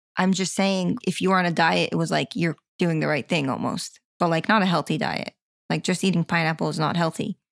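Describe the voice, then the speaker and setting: In an American accent, a woman with a fairly low pitch and vocal fry speaks at a fairly quick clip. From Florida, US. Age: 20s. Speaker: recovery story guest, floral designer. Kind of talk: personal testimony interview.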